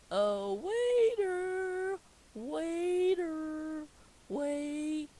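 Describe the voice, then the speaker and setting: A put-on character voice pitched high. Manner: yelling angrily.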